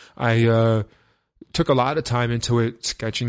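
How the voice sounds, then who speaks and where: Against a quiet background, a man with a New York accent talks at medium pitch with monotone, flat intonation. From New York, Brooklyn. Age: 30s. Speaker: techno DJ. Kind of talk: casual chat.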